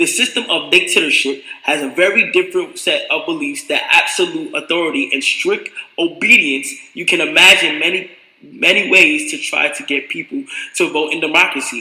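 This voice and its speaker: Over noticeable background noise, a man with an extremely high pitch uses a raised, projected voice at a moderate pace, his pitch swinging very widely. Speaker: streamer. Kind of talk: reading aloud. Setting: live stream. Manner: halting.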